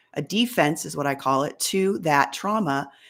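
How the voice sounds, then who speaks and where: A woman at a fairly slow pace with very wide pitch swings, in a very clean recording with a silent background. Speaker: life coach. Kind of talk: live coaching show monologue. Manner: casual, warm.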